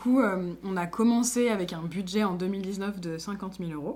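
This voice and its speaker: With audible room echo, a woman of medium pitch speaks at a moderate pace. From France, Lyon. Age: 20s. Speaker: association founder and director. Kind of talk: interview monologue. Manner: hesitant, many fillers.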